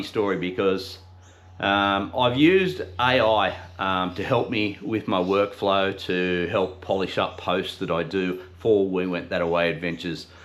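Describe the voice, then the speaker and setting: A man's fairly low voice in an Australian accent at a moderate pace. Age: 50s. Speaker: podcast host. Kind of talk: casual talk to camera. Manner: unscripted, conversational.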